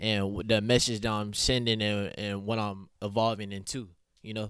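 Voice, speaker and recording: A normal speaking voice with an American accent at a moderate pace, on a very clean recording with a silent background. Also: man. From Oklahoma City east side. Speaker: rapper and clothing entrepreneur. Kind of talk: casual interview.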